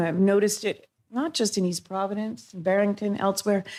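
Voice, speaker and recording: In a very clean recording with a silent background, a woman has an unremarkable speaking voice at medium pitch and a moderate pace. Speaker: public commenter at city council meeting. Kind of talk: public comment. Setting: city council meeting.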